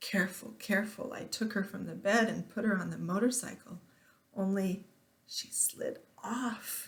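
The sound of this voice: The reading voice here is unforced.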